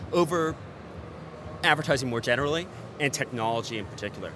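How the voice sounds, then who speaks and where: With an American accent, a man talks at a fairly quick pace with lively intonation in an unremarkable speaking voice. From United States. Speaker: ad tech executive. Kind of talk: trade show interview. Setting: event TV studio.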